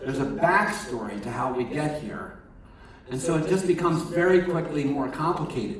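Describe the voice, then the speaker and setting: Over noticeable background noise and audible room echo, a man talks at a moderate pace with a fairly high pitch and lively intonation. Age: 60s. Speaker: chaplain at a treatment center. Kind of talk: sermon. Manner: halting.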